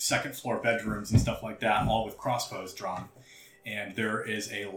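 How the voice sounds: A voice reading naturally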